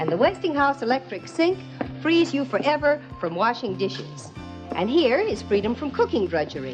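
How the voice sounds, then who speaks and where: This woman talks at a moderate pace while music plays in the background. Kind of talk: vintage TV commercial read.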